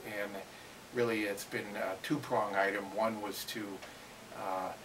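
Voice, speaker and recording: Noticeable background noise and audible room echo surround a man with a fairly low pitch who speaks at a moderate pace with fairly even intonation. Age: 60s. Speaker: interviewee sharing weight loss story. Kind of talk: interview. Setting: at a seminar. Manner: halting, many fillers.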